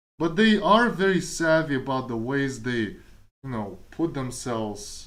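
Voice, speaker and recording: Speaking with a Kazakh accent, a man with a fairly high voice talks at a moderate pace with lively intonation, and room echo is audible. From Kazakhstan. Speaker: streamer and programmer. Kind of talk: casual chat. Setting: live stream.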